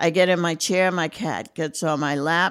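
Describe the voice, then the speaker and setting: Very slow pace and ordinary pitch variation on a very clean recording with a silent background. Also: woman. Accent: New York. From Brooklyn, New York. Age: 60s. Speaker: retiree in recovery. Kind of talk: casual chat.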